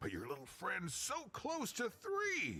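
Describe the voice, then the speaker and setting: At a fairly slow pace, a man talks in a put-on character voice. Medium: video game. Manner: rambling, laughing.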